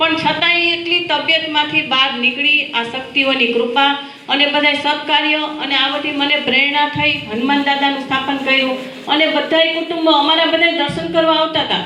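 Projecting in a raised voice, a woman speaks at a high pitch with very even loudness and fairly even intonation, with audible room echo and noticeable background noise. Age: 60s. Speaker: former nun, temple organizer. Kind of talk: welcome speech at ceremony.

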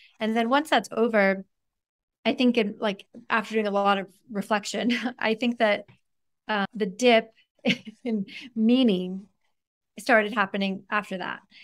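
At a moderate pace and fairly high pitch, a woman speaks with fairly even intonation and long, frequent pauses against a quiet background. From US, of Iranian parents. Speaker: neuroscientist and author. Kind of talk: podcast interview. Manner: candid and conversational, laughs often. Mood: reflective, animated. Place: home room. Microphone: earbuds.

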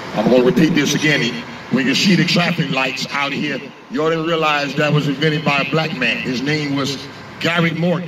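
A man with a fairly high pitch talks fairly quickly amid noticeable background noise. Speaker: street preacher. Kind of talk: street preaching. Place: street. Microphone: handheld.

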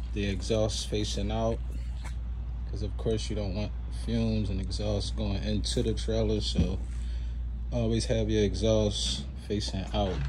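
A man's fairly low voice, little pitch movement, a fairly slow pace and long, frequent pauses.

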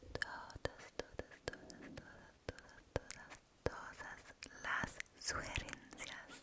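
A woman whispering at a very slow pace. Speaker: ASMR creator. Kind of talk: soft-spoken ASMR chat. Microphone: studio mic.

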